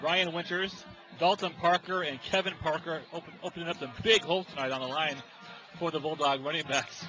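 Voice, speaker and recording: Music plays behind a man who talks at a fairly quick pace. His pitch is high, and his intonation stays fairly even. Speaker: play-by-play sports commentator. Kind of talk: live commentary. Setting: high school football stadium.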